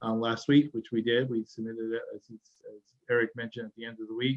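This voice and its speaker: With a Massachusetts accent, a man speaks at a fairly quick pace. His intonation stays fairly even. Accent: Massachusetts accent, still noticeable. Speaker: state transportation secretary. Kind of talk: webinar presentation. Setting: webinar.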